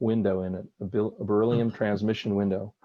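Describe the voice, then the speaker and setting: Fairly low in pitch, a man speaks in a dark, mellow tone with fairly even intonation. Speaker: stamp collector presenting a talk. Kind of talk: Q&A discussion.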